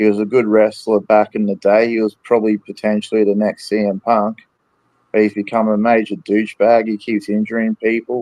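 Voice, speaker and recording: Here a man with an Australian accent talks at a fairly quick pace and fairly low pitch, in a flat, monotone delivery. His tone is dark and mellow, and the sound is dry and close with no echo. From Australia, Brisbane, Queensland. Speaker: wrestling fan podcast guest. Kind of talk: casual chat. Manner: hesitant, many fillers.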